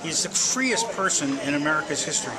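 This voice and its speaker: With noticeable background noise and audible room echo, a man speaks at a fairly quick pace in a fairly high pitch. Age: 60s. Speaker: museum director. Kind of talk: interview.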